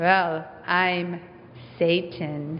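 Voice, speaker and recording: A woman puts on a character voice that is wheezy, raspy and fairly low, with monotone, flat intonation over light background noise. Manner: evil, slow, menacing.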